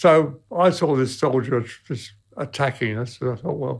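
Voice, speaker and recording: Recorded very cleanly against a silent background, a man with a British accent speaks at a medium pitch, somewhat breathy, with ordinary pitch variation. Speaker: World War II veteran. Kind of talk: interview answer.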